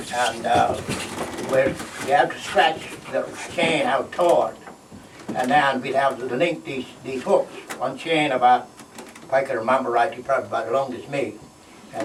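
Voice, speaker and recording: A man with a Bahamian accent speaks with long, frequent pauses. Audible room echo and noticeable background noise fill the recording. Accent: Bahamian Abaco English. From Bahamas, Green Turtle Cay. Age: 80s+. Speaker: retired fisherman. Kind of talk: storytelling talk. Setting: stage with audience. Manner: halting.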